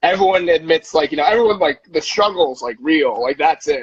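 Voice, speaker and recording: Recorded with a dry, close sound and no echo, a high-pitched man with an American accent talks fairly quickly with lively intonation. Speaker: stand-up comedian. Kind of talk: casual chat.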